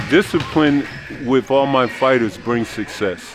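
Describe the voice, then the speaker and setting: Music plays in the background as a man speaks. His voice has a medium pitch, ordinary pitch variation and a moderate pace. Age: 60s. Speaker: boxing coach. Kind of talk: casual interview. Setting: boxing gym.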